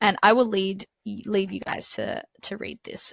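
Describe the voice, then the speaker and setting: A woman speaks at a moderate pace in an Australian accent. The sound is dry and close, with no echo. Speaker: exam tutor. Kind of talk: tutorial. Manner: casual, conversational.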